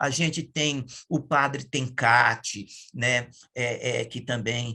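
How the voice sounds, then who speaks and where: Very slow speech comes from a man with a medium pitch and a bright, sharp tone. Vocal fry runs through his voice. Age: 60s. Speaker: environmental activist. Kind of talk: interview testimony. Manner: halting, many fillers and self-corrections.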